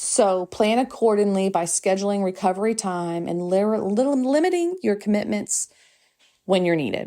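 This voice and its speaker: Putting on a character voice, a woman mumbles at a moderate pace in a medium pitch with ordinary pitch variation, on a very clean recording with a silent background. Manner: mumbling.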